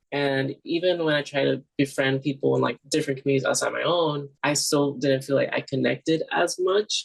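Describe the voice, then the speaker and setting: A man talks fairly quickly with an American accent. The sound is dry and close, with no echo. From New York City, Brooklyn. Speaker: student filmmaker. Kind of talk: interview.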